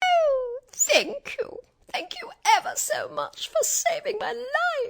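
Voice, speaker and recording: A squeaky, extremely high put-on character voice at a fairly slow pace. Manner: grateful.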